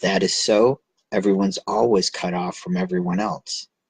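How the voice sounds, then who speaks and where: A man's put-on character voice, raspy and fairly low, with fairly even intonation at a moderate pace, dry and close with no echo. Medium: read story. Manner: cynical, knowing.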